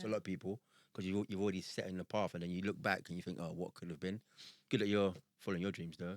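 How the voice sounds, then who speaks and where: Very deep, low male voice at a very fast pace, fairly even intonation, and a dry, close sound with no echo. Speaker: podcast co-host. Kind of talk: casual podcast talk.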